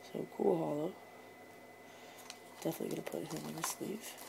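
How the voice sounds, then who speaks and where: Noticeable background noise is present. Over it, someone whispers. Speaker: YouTuber opening trading card packs. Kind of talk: casual pack-opening commentary. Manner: quiet, keeping voice down.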